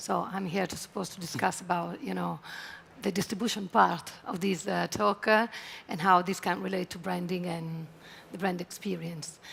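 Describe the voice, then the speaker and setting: At a moderate pace, a woman speaks in an Italian accent, her loudness rising and falling sharply. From Italy. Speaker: travel tech executive. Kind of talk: conference panel discussion.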